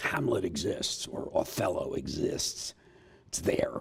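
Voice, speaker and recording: A man speaks over noticeable background noise. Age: 70s. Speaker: theatre professor and actor. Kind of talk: interview.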